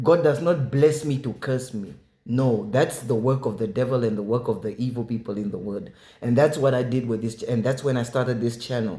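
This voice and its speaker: A man with an African accent speaks at a fairly quick pace in a dark, mellow, somewhat breathy tone. His pitch is medium, with ordinary pitch variation. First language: African language. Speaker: preacher. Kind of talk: testimony. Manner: animated.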